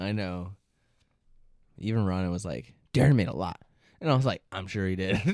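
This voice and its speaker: Here a man speaks with a very deep, low pitch and lively intonation. Long, frequent pauses break up his speech. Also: moderate pace. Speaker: podcast host. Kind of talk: casual chat. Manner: loud talker.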